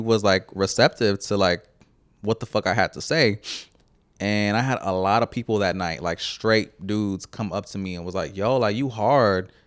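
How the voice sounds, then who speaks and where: With an American accent, a man uses an ordinary speaking voice at a fairly low pitch and moderate pace, in a very clean recording with a silent background and a dry, close sound with no echo. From Houston, Texas (Channelview, East Side). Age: 30s. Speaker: artist and photographer. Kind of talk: casual chat.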